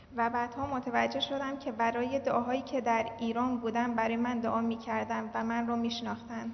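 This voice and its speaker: Over noticeable background noise, a woman speaks at a moderate pace with hardly any pauses, a fairly high pitch, monotone intonation and very even loudness. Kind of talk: testimony. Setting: church service.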